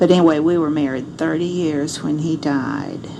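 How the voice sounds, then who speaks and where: With noticeable background noise and audible room echo, a woman with an American accent speaks at a very deep, low pitch in a flat monotone. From Arkansas. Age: 70s. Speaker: grandmother recording memoirs. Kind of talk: personal memoir monologue. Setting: home recording device.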